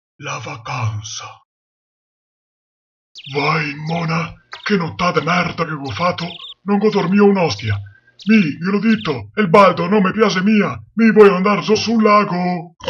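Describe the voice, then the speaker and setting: A man's put-on character voice, high in pitch, at a fairly slow pace with long, frequent pauses. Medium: dub.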